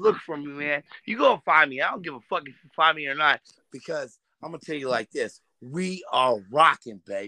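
An American-accented man with a fairly high pitch, a bright, sharp tone, lively intonation and a fairly quick pace, in a dry, close recording with no echo.

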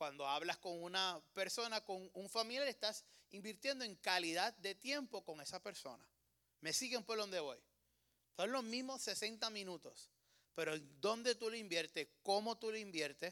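With a raised, projected voice and a bright, sharp, animated tone, a man speaks at a fairly slow pace and high pitch, using lively intonation. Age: 30s. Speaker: preacher. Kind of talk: sermon.

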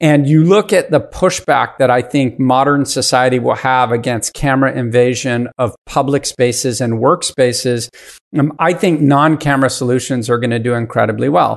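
A plain, everyday voice at a moderate pace, with very even loudness, hardly any pauses, ordinary pitch variation and a quiet background. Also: man, medium pitch for a man. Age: 50s. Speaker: venture capitalist. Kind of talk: casual chat.

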